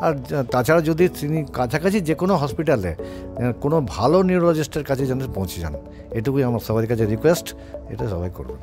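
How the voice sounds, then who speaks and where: Over music in the background, a man at a medium pitch speaks with very wide pitch swings. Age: 60s. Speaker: patient. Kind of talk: testimony. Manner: halting, many fillers.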